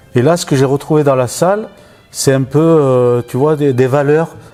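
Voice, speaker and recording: Music plays in the background as a man speaks. His pace is moderate, with ordinary pitch variation. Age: 60s. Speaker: municipal employee, amateur boxer. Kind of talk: interview.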